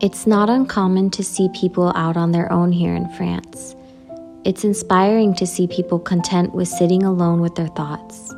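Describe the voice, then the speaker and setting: A woman with an American accent at a fairly low pitch, fairly even intonation and moderate pace, music in the background. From United States. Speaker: expat lifestyle vlogger. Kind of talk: reflective vlog narration.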